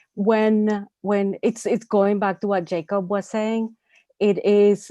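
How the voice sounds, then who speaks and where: Her voice has a dark, mellow tone and sits at medium pitch for a woman. She speaks at a fairly slow pace, in a dry, close sound with no echo against a quiet background. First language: not English. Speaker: UX designer. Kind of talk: panel discussion.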